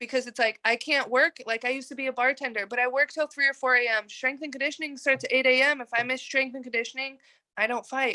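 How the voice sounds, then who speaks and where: A raised, projected voice with a bright, sharp tone and an American accent races along at a very fast pace. The intonation stays monotone and flat, and the sound is dry and close with no echo. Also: woman, high pitch for a woman. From Texas. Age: 20s. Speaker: mma fighter. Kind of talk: interview.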